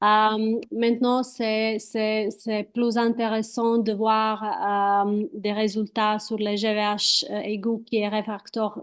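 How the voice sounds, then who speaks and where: A woman in a Croatian accent, fairly high in pitch, monotone and flat, very slow with hardly any pauses, against a quiet background. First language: Croatian (speaking French). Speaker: hematologist, transplant physician. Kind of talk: panel discussion. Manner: halting, searching for words.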